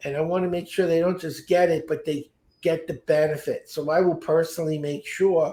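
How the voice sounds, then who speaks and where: A man with an American accent speaks at a fairly quick pace in a high, dark, mellow voice. His intonation is monotone and flat, and the recording is very clean with a silent background. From US Northeast, Brooklyn, New York. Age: 70s. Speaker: speed reading educator. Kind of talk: interview.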